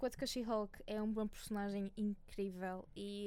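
Medium in pitch, a woman speaks with a dark, mellow tone. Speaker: screenwriter and podcaster. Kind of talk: casual chat.

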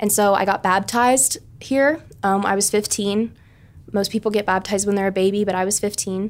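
A woman with an American accent has an unremarkable speaking voice at medium pitch with fairly even intonation. The recording is very clean, with a silent background. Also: fairly quick pace, very even loudness. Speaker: college student. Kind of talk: podcast interview.

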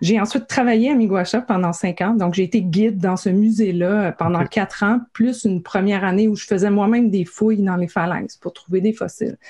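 A woman speaks at a fairly quick pace and medium pitch, somewhat breathy. Her tone is dark and mellow, with fairly even intonation. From Quebec, Gaspésie. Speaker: science communicator. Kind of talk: interview.

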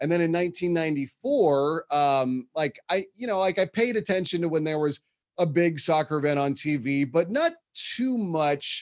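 A man with a Californian accent, a fairly high pitch and lively intonation. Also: fairly slow pace. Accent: Californian American English. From San Francisco Bay Area, California. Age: 30s. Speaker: soccer play-by-play broadcaster. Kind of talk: casual interview.

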